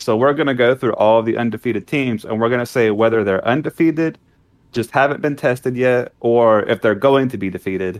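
An unremarkable speaking voice with ordinary pitch variation and a dry, close sound with no echo. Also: man, medium pitch for a man, fairly quick pace. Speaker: sports podcast co-host. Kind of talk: casual chat.

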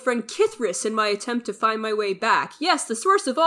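The reading voice sounds natural. Its pitch rises and falls in a lively way.

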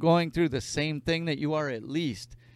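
A normal speaking voice carries along at a moderate pace. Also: man. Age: 30s. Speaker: podcast host. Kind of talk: casual chat. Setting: studio.

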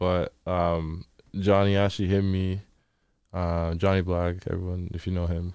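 This man speaks in a Toronto accent at a fairly slow pace, his very deep, low voice flat and monotone on a very clean recording with a silent background. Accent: Toronto Canadian English. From Toronto, Canada. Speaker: DJ and event promoter. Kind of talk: casual chat.

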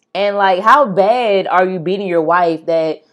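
At a fairly slow pace, a woman with an ordinary speaking voice talks in a medium pitch. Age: 20s. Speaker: true crime podcast host. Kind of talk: casual chat. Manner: laughs often.

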